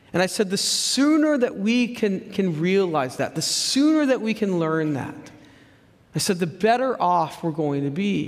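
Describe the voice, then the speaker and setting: A man's high pitch with very wide pitch swings at a fairly slow pace, over noticeable background noise. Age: 40s. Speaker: pastor. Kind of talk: sermon.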